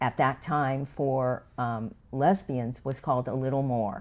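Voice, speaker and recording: In an American accent, a woman speaks at a very slow pace with a very deep, low pitch. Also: very clean recording, silent background. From Los Angeles, California. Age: 70s. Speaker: podcast guest. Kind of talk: casual interview chat.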